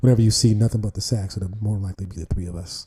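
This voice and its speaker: Soft-spoken and monotone, a man talks at a very fast pace with flat intonation as music plays in the background. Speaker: saxophonist. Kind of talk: interview. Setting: video call from an art gallery. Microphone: too quiet.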